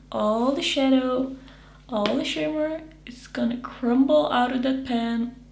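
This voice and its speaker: Noticeable background noise fills the clip. Over it, a woman speaks fairly slowly in a high voice. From Netherlands. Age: 20s. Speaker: beauty YouTuber. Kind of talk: casual talk to camera. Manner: upbeat.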